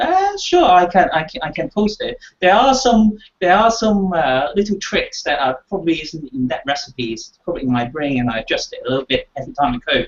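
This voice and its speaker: Very wide pitch swings at a fairly quick pace. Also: man, high pitch for a man. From Hong Kong. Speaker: game player guest. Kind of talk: casual chat. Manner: halting, many fillers.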